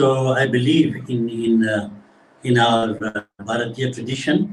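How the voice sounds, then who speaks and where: A somewhat breathy man speaks at a medium pitch. He keeps a fairly slow pace. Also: ordinary pitch variation. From Zimbabwe. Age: 80s+. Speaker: devotional singer. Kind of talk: interview.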